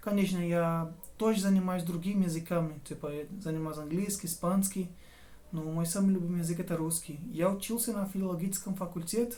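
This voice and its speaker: A man with a Portuguese accent speaks at a high pitch with fairly even intonation, and audible room echo can be heard. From southern Brazil, near Uruguay border. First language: Portuguese (speaking Russian). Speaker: language learner and tutor. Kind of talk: casual vlog monologue. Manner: halting, self-correcting.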